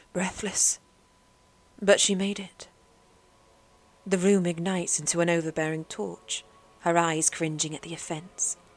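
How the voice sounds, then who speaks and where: Over music in the background, a woman speaks at a moderate pace with fairly low pitch and fairly even intonation. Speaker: audiobook narrator. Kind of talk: horror story narration.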